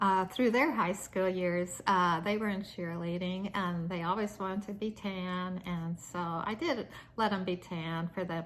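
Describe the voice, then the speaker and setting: In a Midwestern American accent, the speaker talks in a relaxed tone at a fairly slow pace, with fairly even intonation and hardly any pauses. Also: woman, medium pitch for a woman. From US Midwest, Nebraska. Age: 60s. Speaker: lifestyle vlogger. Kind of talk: casual vlog talk to camera. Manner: relaxed, with many fillers and hesitations.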